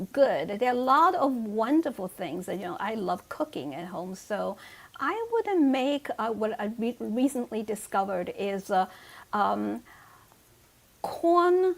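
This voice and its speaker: A woman's fairly high voice with a Chinese accent and very wide pitch swings. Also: fairly slow pace, big swings in loudness. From China. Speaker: author. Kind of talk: casual chat. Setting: video call.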